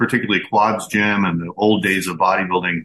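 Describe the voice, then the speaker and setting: A man talks at a fairly quick pace in a bright, sharp tone, his intonation fairly even. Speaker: podcast host. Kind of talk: podcast interview and listener mail.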